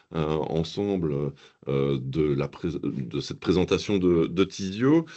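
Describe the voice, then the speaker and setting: With a slight Belgian accent, a man speaks at a very slow pace. His very deep, low pitch shows ordinary variation. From Belgium. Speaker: software platform founder. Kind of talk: webinar presentation. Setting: video call webinar.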